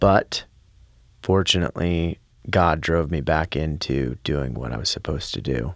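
A man with a very deep, low pitch and vocal fry speaks at a moderate pace. His pitch varies in an ordinary way, and the recording is very clean with a silent background. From Pennsylvania. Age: 30s. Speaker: singer and musician. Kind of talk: casual chat. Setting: studio.

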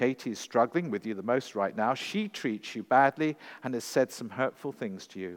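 The speaker reads with lively intonation in an unforced reading voice.

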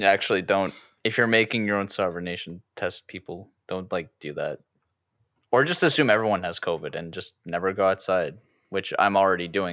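A man's fairly quick speech in an unremarkable speaking voice, fairly low in pitch with ordinary variation, on a very clean recording with a silent background. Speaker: podcast host. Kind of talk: casual chat. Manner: casual, jokey.

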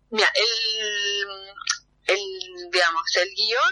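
A woman speaks at a fairly high pitch in a bright, sharp tone, her intonation lively. The sound is dry and close with no echo. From Argentina, Buenos Aires area (Temperley). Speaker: theatre director. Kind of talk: phone interview. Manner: hesitant, many fillers.

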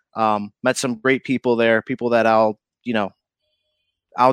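Recorded very cleanly over a silent background, a man with an upstate New York accent speaks at medium pitch and a moderate pace, the sound dry and close with no echo. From upstate New York (Syracuse area). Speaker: TV reporter. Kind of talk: casual chat.

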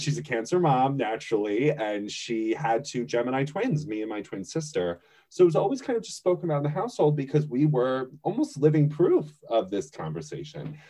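With an American accent, a man speaks at a fairly quick pace in a fairly high pitch, his intonation lively and his tone dark and mellow. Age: 30s. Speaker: astrologer. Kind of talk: casual chat.

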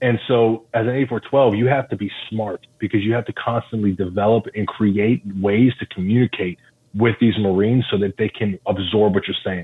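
A man with an American accent and a normal speaking voice, fairly low in pitch, fairly even in intonation, at a moderate pace with hardly any pauses. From Philadelphia, Pennsylvania. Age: 30s. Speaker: Marine recruiter. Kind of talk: podcast interview.

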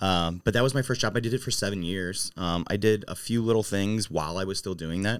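On a very clean recording with a silent background, a man with an ordinary speaking voice talks at a fairly quick pace with hardly any pauses, a fairly low pitch and ordinary pitch variation. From St. Louis area, Missouri. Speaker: bar owner. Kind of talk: interview conversation.

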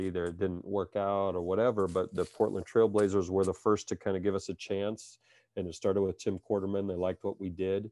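With a Midwestern American accent, a man talks at a moderate pace in a monotone, flat intonation. The sound is dry and close with no echo, against a quiet background. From US Midwest, Iowa. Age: 40s. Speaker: basketball coach. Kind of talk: interview.

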